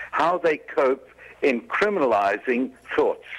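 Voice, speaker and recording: A man speaks in a plain, everyday voice with a fairly high pitch. His pace is fairly slow. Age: 60s. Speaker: interview guest, historical revisionist. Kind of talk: interview.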